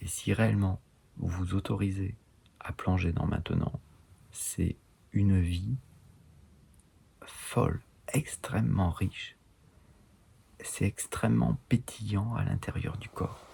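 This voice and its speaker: Very deep and low, a man's voice is somewhat breathy, with lively intonation. He talks very slowly, with long, frequent pauses. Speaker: enneagram teacher. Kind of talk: online course lecture. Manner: halting.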